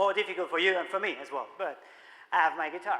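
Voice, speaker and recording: At a moderate pace, a man with a high pitch speaks in a raised, projected voice. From Spain, Barcelona. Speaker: musician and marketing speaker. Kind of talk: conference keynote talk. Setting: stage with audience. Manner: animated.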